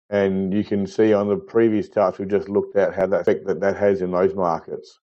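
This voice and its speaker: With an Australian accent, the man's words come out at a fairly quick pace. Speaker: market chart analyst. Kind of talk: tutorial.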